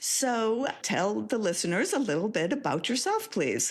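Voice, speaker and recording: A woman's fairly high pitch with vocal fry and very wide pitch swings, at a moderate pace. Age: 60s. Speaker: podcast host, literacy educator. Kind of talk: interview.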